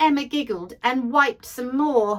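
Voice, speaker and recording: A woman talks in a British accent. Her tone is animated. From Britain. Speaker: actress, audiobook narrator. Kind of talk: children's picture book read-aloud. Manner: expressive, animated.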